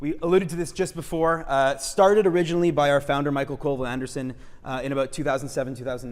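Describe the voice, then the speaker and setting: The voice varies its pitch in an ordinary way while room echo can be heard around it. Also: man. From Quebec, Montreal. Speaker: urban designer. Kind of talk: lecture. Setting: auditorium with audience. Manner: frequent fillers (uh, um).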